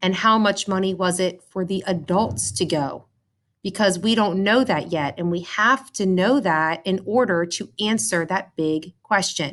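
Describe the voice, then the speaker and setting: A woman speaks at a medium pitch and a fairly slow pace, with ordinary pitch variation. The background is quiet. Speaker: elementary school teacher. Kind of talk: math lesson for children. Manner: slow, deliberate.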